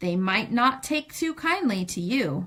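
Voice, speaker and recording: A put-on character voice at a fairly slow pace with very wide pitch swings. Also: woman. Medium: read story.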